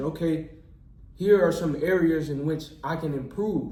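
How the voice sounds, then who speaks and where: In a room with audible echo, a man speaks with an American accent at a fairly high pitch, keeping his intonation fairly even and his pace fairly slow. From Texas, near Houston. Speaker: medical student and YouTuber. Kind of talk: casual interview chat. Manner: many filler words.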